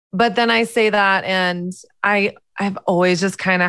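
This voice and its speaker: A woman with an American accent speaks fairly slowly at medium pitch. The recording is very clean, with a silent background. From US South. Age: 30s. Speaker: author and podcaster. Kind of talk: interview chat.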